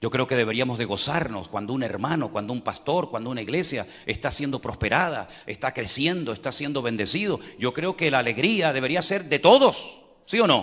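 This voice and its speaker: A man with a plain, everyday voice talks at a fairly quick pace with lively intonation. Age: 60s. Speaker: pastor. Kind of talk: sermon.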